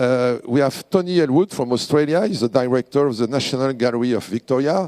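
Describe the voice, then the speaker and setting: In a dry, close sound with no echo, a man with a French accent speaks at a fairly quick pace, with a medium pitch, ordinary pitch variation and a dark, mellow tone. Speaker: president of a design award organisation. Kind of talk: award ceremony speech. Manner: halting.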